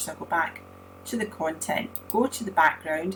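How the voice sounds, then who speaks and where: With music in the background, a woman speaks with very wide pitch swings. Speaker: web design tutor. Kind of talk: screen-recorded tutorial.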